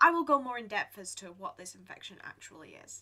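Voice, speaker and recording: A woman's fairly high voice with very wide pitch swings, a moderate pace and a bright, sharp tone. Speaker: gaming YouTuber. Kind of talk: gameplay commentary. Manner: casual, some hesitations.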